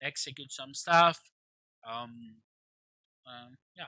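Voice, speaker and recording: A man's voice with a bright, sharp tone and a dry, close sound with no echo. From Greece. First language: Greek. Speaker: forex trader. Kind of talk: casual video update. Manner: hesitant, many fillers.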